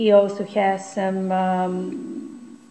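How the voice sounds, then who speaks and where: The voice has a dark, mellow tone, a somewhat breathy quality and a Bulgarian accent. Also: woman. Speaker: campaign coordinator. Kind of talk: video message. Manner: halting. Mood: earnest, calm. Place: home room. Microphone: webcam.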